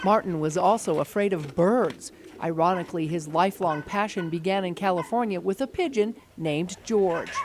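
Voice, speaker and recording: A woman with ordinary pitch variation talks at a moderate pace as noticeable background noise carries on. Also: medium pitch for a woman. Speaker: TV news reporter. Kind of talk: TV news report narration.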